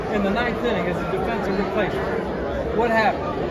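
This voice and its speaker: Crowd noise fills the background as a man speaks. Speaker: writer interviewing an inductee. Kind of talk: interview intro and questions. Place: hall. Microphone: phone near.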